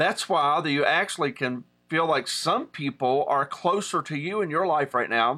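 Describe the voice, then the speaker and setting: A man speaks in a bright, sharp tone with an Appalachian accent. His intonation is lively. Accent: Appalachian American. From Southern West Virginia. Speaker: pastor. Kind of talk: online teaching. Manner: casual, with many fillers.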